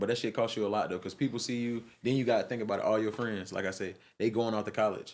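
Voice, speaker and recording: Speech rushes by at a very fast pace in a Georgia accent with fairly even intonation. The recording is very clean, the background silent. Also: man. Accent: Southern US, Georgia. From Albany, Georgia. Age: 20s. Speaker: artist. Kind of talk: podcast interview answer.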